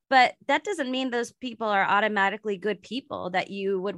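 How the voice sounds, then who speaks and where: A woman's fairly high voice, an ordinary speaking voice with lively intonation, at a moderate pace, dry and close with no echo over a quiet background. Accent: American. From US West Coast, San Francisco Bay Area. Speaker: wedding planner, podcast host. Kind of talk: casual interview chat.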